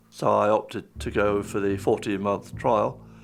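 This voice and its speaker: Speaking very slowly, a man delivers his words. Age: 70s. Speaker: cancer patient. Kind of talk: documentary interview testimony.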